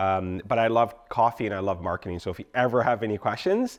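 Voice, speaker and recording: A man's fairly low voice, animated in tone and lively in intonation, against a quiet background. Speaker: marketing agency owner. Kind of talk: workshop presentation. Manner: fast.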